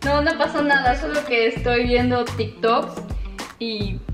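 Clear music plays in the background as a woman speaks. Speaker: YouTuber. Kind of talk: casual vlog reaction chat. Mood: scared, playful, expressive. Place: home room.

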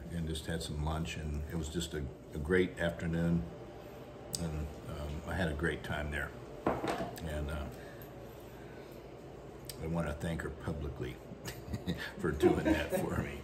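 Amid loud background noise, a man talks at a fairly slow pace with long, frequent pauses. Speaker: vlogger. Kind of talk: casual vlog chat. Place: home room. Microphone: phone near.

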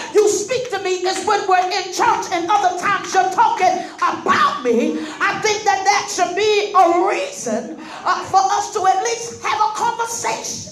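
Music plays in the background. There is audible room echo as well. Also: moderate pace. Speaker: guest. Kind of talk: sermon. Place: hall. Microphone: pa.

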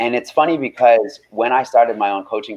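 A man speaks at a moderate pace. His medium-pitched voice shows ordinary pitch variation. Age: 20s. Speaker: health coach and radio host; health coach guest. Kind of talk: interview. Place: home room. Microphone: video call.

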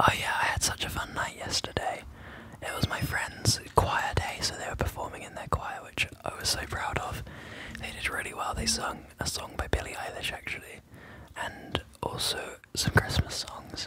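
Someone whispers over noticeable background noise. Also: moderate pace. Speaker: ASMR gaming creator. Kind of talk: ASMR gaming commentary. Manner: soft whispering.

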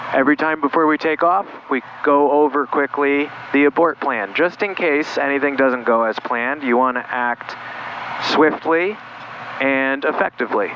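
A man speaks at a moderate pace with ordinary pitch variation, the sound dry with no echo and noticeable background noise behind him. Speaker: pilot instructor. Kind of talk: tutorial. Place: plane. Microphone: headset.

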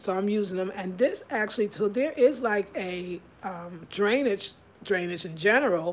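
Female speech, moderately paced, with ordinary pitch variation. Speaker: home vlogger. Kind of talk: casual vlog chat. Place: kitchen. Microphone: phone near.

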